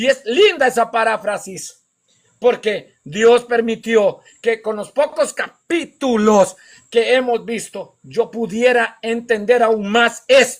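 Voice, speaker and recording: A man speaks with an extremely high pitch at a very slow pace, his pitch varying in an ordinary way. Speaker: pastor and evangelist. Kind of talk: sermon. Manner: slow, deliberate.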